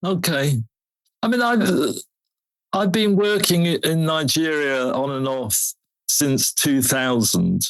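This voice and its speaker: The speech moves at a very slow pace. Pauses come often and run long. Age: 70s. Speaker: bookshop owner and activist. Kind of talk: interview.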